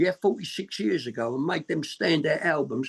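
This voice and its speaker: The speaker has a Cockney accent and talks at a moderate pace. The sound is dry and close with no echo. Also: man. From East London, England. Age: 60s. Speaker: punk band musician. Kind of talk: interview.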